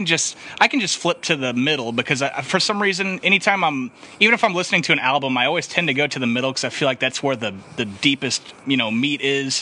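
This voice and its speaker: Lively intonation at a very fast pace, against noticeable background noise. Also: man. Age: 20s. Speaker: podcast host. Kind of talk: casual chat.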